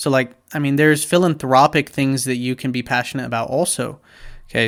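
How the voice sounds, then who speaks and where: A man speaks with a normal speaking voice, medium pitch and fairly even intonation. The recording is very clean, with a silent background. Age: 20s. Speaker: business vlogger. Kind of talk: tutorial. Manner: casual, with many fillers.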